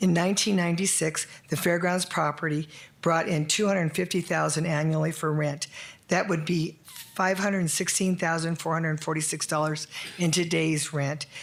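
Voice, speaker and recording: Over noticeable background noise, a woman with an American accent speaks fairly low at a moderate pace, her intonation monotone and flat and her loudness very even. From Arizona, US (Prescott). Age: 60s. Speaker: member of the public giving comment. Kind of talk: public comment at council meeting. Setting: city council chamber.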